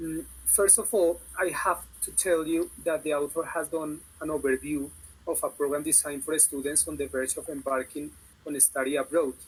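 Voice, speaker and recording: This man has a plain, everyday voice with a fairly high pitch. He talks at a moderate pace with fairly even intonation. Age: 30s. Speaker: university student. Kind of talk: panel discussion.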